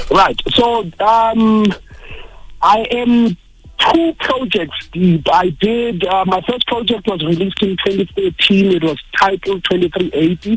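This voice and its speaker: A man with a Zulu accent, high-pitched, at a fairly slow pace, with ordinary pitch variation and very even loudness. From South Africa. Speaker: poet. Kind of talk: radio interview.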